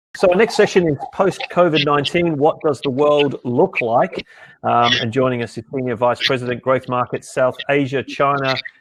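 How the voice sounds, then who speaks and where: A fairly high-pitched man with an Australian accent, at a moderate pace, with ordinary pitch variation. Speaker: event host. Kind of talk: session introduction.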